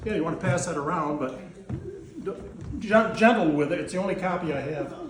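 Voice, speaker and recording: A man with an American accent talks at a high pitch and a fairly quick pace, with audible room echo and noticeable background noise. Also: ordinary pitch variation. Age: 70s. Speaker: gardening instructor. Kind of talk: class talk. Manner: halting.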